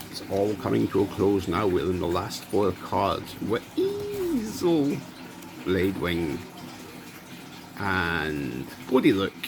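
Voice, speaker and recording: With a Scottish accent and a fairly low pitch, a man speaks very slowly with lively intonation and long, frequent pauses over noticeable background noise. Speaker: YouTuber, card unboxing. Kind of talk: casual unboxing commentary.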